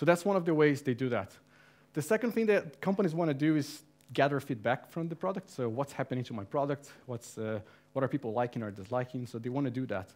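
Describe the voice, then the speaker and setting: A man's fairly high-pitched voice at a very fast pace, with lively intonation, on a very clean recording with a silent background. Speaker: community manager giving a talk. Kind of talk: conference talk. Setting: meetup with live audience. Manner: casual.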